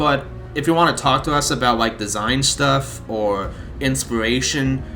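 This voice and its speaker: With music playing in the background, a man speaks at medium pitch. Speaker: mod team member, video host. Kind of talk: casual video update. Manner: casual, with repeated words.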